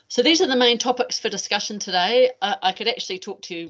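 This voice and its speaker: A woman with a New Zealand accent. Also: quiet background. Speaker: anti-doping educator, former athlete. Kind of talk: webinar presentation. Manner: fast at times.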